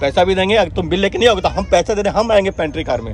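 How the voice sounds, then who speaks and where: Crowd noise fills the background behind a man, heard in a dry sound with no echo. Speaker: travel vlogger. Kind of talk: heated argument, then casual vlog chat. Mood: angry, arguing. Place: train. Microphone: phone near.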